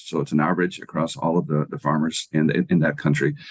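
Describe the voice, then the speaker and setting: This man's voice is very deep and low, with ordinary pitch variation, at a fairly quick pace. The sound is dry and close, with no echo. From Ireland. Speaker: agricultural economics professor. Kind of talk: interview.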